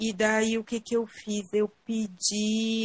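This woman's voice sits at a fairly high pitch. It sounds somewhat breathy. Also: dry, close sound with no echo. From southern Brazil, Rio Grande do Sul (Garibaldi). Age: 30s. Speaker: cancer survivor sharing her story. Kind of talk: live interview testimony. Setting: online live video call.

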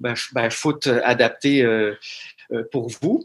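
In a Quebec accent, a man speaks very slowly at a medium pitch with ordinary pitch variation. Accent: Québécois French. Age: 40s. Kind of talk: interview. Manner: halting, frequent word repetitions.

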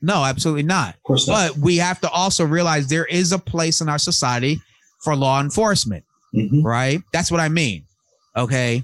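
A man's ordinary speaking voice, fairly high in pitch, at a moderate pace with ordinary pitch variation and very even loudness. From US Northeast, Long Island, New York. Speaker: podcast host. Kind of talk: casual chat.

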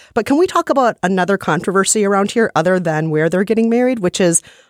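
A woman talks at a very fast pace in an animated tone with lively intonation, in a dry, close sound with no echo. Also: very clean recording, silent background. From United States. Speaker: podcast co-host. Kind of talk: casual chat.

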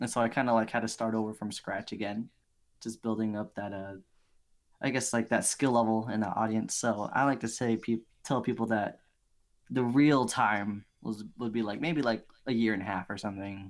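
A man's medium-pitched voice at a moderate pace, fairly even intonation, and an unremarkable speaking voice. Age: 20s. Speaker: digital artist and streamer. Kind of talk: casual chat. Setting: remote call.

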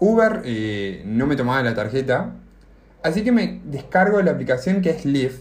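The voice is somewhat breathy, with very wide pitch swings and a moderate pace. Audible room echo surrounds it. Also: man. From Argentina. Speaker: podcast co-host. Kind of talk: casual chat, telling an anecdote. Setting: video call.

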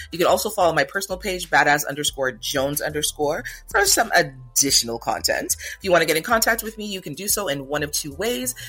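Over noticeable background noise, a high-pitched man talks at a very fast pace with lively intonation and hardly any pauses. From Jamaica. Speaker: podcast host. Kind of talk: casual chat.

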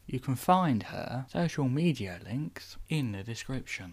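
In a very clean recording with a silent background, a man with an unremarkable speaking voice talks at medium pitch and a fairly slow pace with lively intonation. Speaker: podcast host. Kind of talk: scripted intro and outro announcements.

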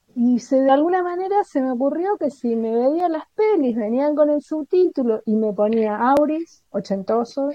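At a fairly slow pace, a woman talks with lively intonation at a high pitch. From Argentina. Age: 40s. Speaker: literary translator. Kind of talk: interview conversation.

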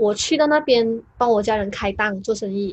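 Lively intonation marks a woman's speech at a fairly slow pace. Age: 20s. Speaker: YouTuber. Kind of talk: casual interview chat. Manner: talkative.

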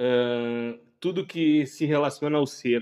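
A man speaks at a fairly high pitch. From Caxias do Sul, Rio Grande do Sul, Brazil. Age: 30s. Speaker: podcast co-host. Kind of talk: casual chat. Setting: outdoor kiosk, cold night.

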